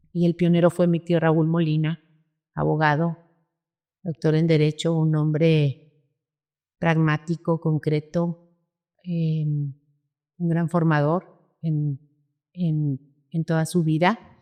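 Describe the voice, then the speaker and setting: A woman speaks at a very slow pace in a very deep, low pitch, her dark, mellow tone monotone and flat. Long, frequent pauses break up the dry, close sound with no echo. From northern Mexico, Parral (Chihuahua) and Comarca Lagunera. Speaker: cattle rancher and livestock association leader. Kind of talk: interview.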